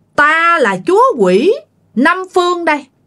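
A put-on character voice with an extremely high pitch moves along at a fairly slow pace. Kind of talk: theatrical, archaic Vietnamese. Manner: forceful, commanding.

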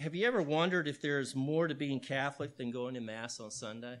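A man's bright, sharp tone with an American accent and ordinary pitch variation. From Texas, Houston. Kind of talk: talk to an audience.

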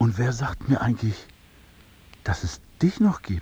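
A man does a put-on character voice, dark and mellow in tone with a husky, rough edge, making big pitch swings at a fairly slow pace. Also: medium pitch for a man.

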